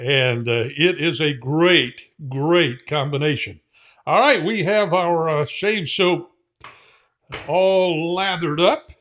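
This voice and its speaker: In an American accent, a man speaks at a very slow pace with a high pitch, lively intonation and a relaxed tone. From Indiana, US Midwest. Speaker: shaving product reviewer. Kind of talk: casual product review tutorial. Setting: home shave room. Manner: relaxed, with frequent fillers.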